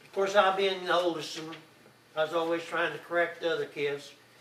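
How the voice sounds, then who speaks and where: A man with an Oklahoma accent speaks at a moderate pace in a fairly high pitch for a man, with fairly even intonation over noticeable background noise. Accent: Oklahoma rural Southern US. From Oklahoma, El Reno area. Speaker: grandfather telling his life story. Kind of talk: oral history storytelling. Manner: halting, with many fillers.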